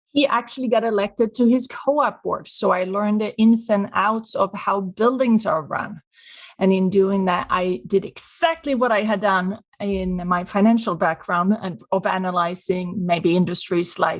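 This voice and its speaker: Speaking at a moderate pace with hardly any pauses, a woman with a Swedish accent has a medium pitch and ordinary pitch variation. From Sweden. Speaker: business consultant. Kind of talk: podcast interview.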